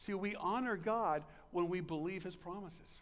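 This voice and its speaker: Here a man talks with a high pitch. His pitch variation is ordinary. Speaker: preacher. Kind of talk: sermon. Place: church. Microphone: podium.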